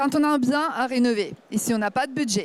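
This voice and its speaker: She speaks with a Ukrainian accent at a fairly slow pace. This woman's pitch shows ordinary variation. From Ukraine. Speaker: startup founder. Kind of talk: startup pitch.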